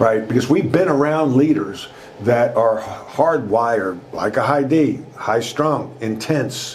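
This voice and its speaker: With a Long Island accent, a man speaks very slowly at a medium pitch with ordinary pitch variation and very even loudness. Noticeable background noise and audible room echo fill the recording. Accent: New York (Long Island) American. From US Northeast, Long Island, New York. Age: 60s. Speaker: former basketball coach and business trainer. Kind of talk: interview storytelling. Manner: animated.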